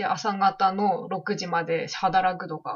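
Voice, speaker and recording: Speaking with a Yamagata accent, a woman sounds somewhat breathy. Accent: Shonai dialect of Yamagata. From Japan, Shonai region of Yamagata. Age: 20s. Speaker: podcast co-host. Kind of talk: casual chat.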